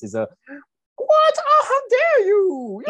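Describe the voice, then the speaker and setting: The speaker puts on a character voice in falsetto. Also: man, extremely high pitch for a man. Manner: indignant.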